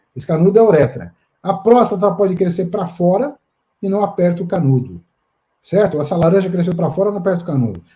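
A man's high-pitched voice, dark and mellow in tone, at a very fast pace. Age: 60s. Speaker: urologist. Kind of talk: live-stream interview. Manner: halting.

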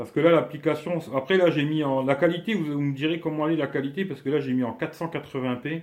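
With an unremarkable speaking voice, a man talks at a fairly quick pace and fairly high pitch, with hardly any pauses and fairly even intonation. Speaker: YouTuber doing a live stream. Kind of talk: casual live stream chat. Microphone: weak network connection, lag.

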